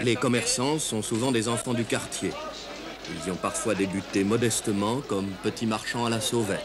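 Music plays behind a man who talks at a moderate pace and a medium pitch, with very even loudness and fairly even intonation. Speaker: documentary narrator. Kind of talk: documentary narration.

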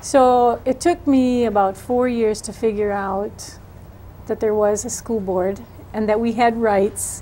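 A dark, mellow tone with an American accent, fairly even intonation and a fairly slow pace over light background noise. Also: woman, fairly high pitch for a woman. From Wisconsin. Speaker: political candidate; candidate. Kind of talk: interview. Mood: earnest, engaged. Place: studio.

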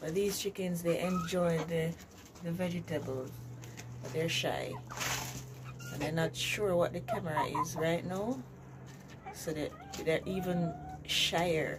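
Fairly slow speech broken by long, frequent pauses, with noticeable background noise. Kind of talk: casual vlog chat. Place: farm machine. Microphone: phone near.

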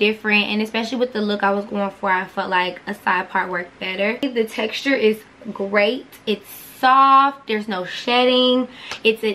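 Here a woman talks at a moderate pace with ordinary pitch variation. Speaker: beauty vlogger. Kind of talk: casual vlog chat, product review. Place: home room.

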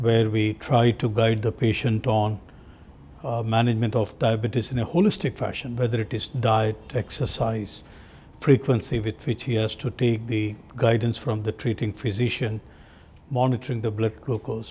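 Somewhat breathy, a man speaks at a moderate pace with fairly even intonation over light background noise. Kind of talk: interview answer. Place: office. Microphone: lapel.

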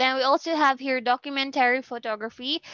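Against a quiet background, a woman with a Filipino accent speaks at a moderate pace in a bright, sharp tone, the sound dry with no echo. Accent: Filipino English, Cebuano-speaking. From Philippines. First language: Cebuano. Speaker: university lecturer. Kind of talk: lecture. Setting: video call. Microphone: video call.

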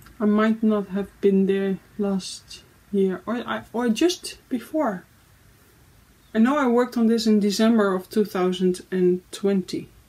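The woman's tone is dark and mellow, somewhat breathy. She speaks at a very slow pace. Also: ordinary pitch variation. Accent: Dutch. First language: Dutch. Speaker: cross-stitch video creator; crafting vlogger. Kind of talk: casual monologue vlog. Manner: halting, many fillers. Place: home room. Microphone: phone near.

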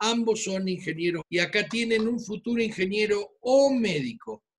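A man is speaking. His pace is fairly slow. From Argentina, Buenos Aires. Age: 60s. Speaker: physician. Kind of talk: presentation. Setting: video call. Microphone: video call.

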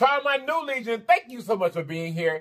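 This man talks fairly quickly. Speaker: food vlogger. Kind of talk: casual vlog chat.

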